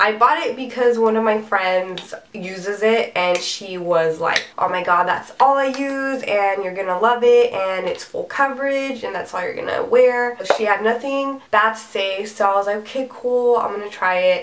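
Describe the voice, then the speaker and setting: A woman with a fairly high pitch and ordinary pitch variation speaks at a moderate pace with hardly any pauses, against noticeable background noise. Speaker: beauty vlogger. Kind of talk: product review. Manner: casual, chatty.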